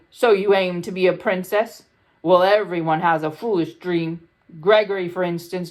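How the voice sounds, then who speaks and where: A put-on character voice at middle pitch and moderate pace. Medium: read story.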